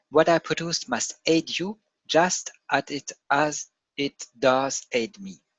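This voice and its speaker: A very slow delivery in a non-native accent. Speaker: crypto trading analyst. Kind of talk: reading aloud from a written text; casual chat. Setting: screen share video. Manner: halting, with repetitions and self-corrections.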